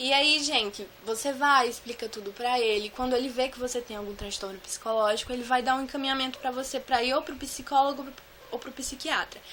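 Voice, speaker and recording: A woman's high voice at a fairly quick pace, fairly even in intonation, with big swings in loudness. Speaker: vlogger sharing anxiety disorder experience. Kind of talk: casual Q&A vlog. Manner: fast.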